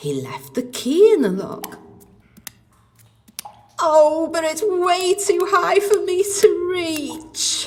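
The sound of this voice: A woman in a put-on character voice, pitched extremely high, speaking slowly. Her pitch swings widely, and the room echo is audible.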